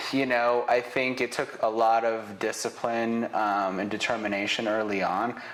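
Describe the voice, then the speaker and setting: A man delivers fairly slow speech as noticeable background noise goes on. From Israel, raised in Northern Nevada from childhood. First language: Hebrew. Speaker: business owner, real estate photographer. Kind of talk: interview.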